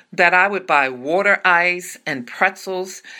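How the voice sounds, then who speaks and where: A woman with a bright, sharp tone speaks fairly slowly at medium pitch with lively intonation, in a very clean recording with a silent background. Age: 60s. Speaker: podcast host and Bible teacher. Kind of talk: devotional teaching monologue.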